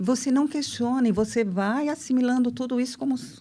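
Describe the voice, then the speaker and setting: A woman speaks at a moderate pace. Her pitch is high, and her tone is dark and mellow. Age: 60s. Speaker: therapist. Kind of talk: casual chat.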